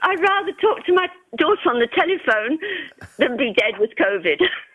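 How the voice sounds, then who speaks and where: A woman at an extremely high pitch with very wide swings, very even loudness, a moderate pace, long frequent pauses, and noticeable background noise. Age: 80s+. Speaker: caller. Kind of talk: phone-in call.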